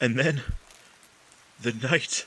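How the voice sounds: A man performs a put-on character voice at a medium pitch and a very slow pace. His tone is bright and sharp, with a slightly husky edge. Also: ordinary pitch variation.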